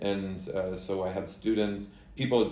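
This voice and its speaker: Room echo can be heard. The man talks with an American accent. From United States. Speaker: country director of an education nonprofit. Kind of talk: interview.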